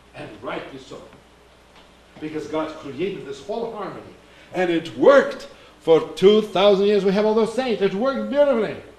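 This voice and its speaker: Amid noticeable background noise and audible room echo, a man with a high pitch speaks at a moderate pace with lively intonation and long, frequent pauses. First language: Russian. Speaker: Orthodox priest giving a talk. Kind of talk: sermon-like talk. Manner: halting, searching for words.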